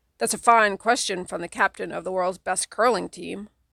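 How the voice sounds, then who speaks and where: This put-on character voice sounds female, with a middle pitch, a raspy, gruff quality and a moderate pace, recorded very cleanly against a silent background. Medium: read story. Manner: gruff, loud.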